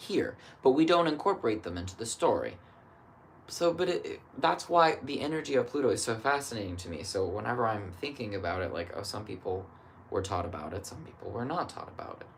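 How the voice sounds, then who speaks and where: A man talks at a fairly quick pace and a medium pitch, with very wide pitch swings and big swings in loudness. Noticeable background noise is present. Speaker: astrologer. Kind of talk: solo astrology reading, casual monologue. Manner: thinking aloud, casual.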